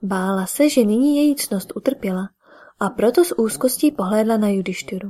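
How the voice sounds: The voice is a natural reading voice.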